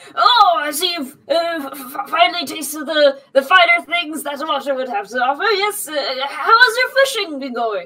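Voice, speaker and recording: The voice is a put-on character voice at a high pitch. It moves at a moderate pace. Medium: actual play. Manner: genial, slightly pompous, then urgent.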